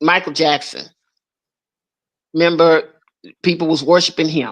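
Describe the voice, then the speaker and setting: At a moderate pace, a woman speaks at a fairly low pitch. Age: 60s. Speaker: live-stream panel commentator. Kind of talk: casual chat. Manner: halting, repeated filler words.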